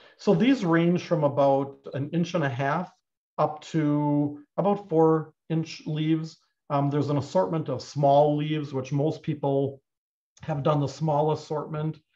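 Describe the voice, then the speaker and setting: Against a quiet background, a man talks at a fairly slow pace in a dark, mellow tone with fairly even intonation. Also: fairly high pitch for a man. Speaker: clay instructor. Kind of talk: tutorial. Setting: live online broadcast from studio. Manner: informal, hesitant with fillers. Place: workshop.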